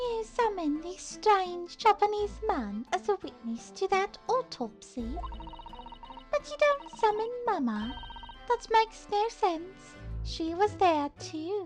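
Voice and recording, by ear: Clear music plays in the background as a woman puts on a character voice at an extremely high pitch, speaking at a fairly slow pace.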